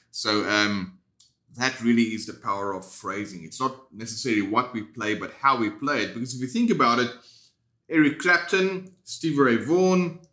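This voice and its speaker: In a South African accent, a man speaks at medium pitch and a moderate pace, his intonation lively and his tone bright and sharp. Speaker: guitar teacher. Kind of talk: tutorial. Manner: casual, conversational.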